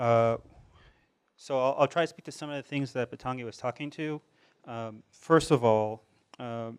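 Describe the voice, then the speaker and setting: With long, frequent pauses and big swings in loudness, a man talks at a medium pitch with fairly even intonation. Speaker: social enterprise co-founder. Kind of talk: panel talk. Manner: fast.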